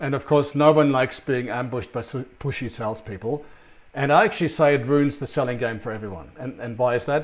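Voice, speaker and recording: Talking at a fairly quick pace with a non-native accent, a man with a fairly high pitch shows ordinary pitch variation. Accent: foreign-sounding, noticeable. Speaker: sales consultant. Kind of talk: business presentation. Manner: hesitant, many fillers.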